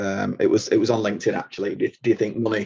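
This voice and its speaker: With a Mancunian accent, a man speaks at a fairly quick pace. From Manchester, England. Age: 40s. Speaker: truck driver and app founder. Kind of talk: podcast interview. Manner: halting, many repetitions.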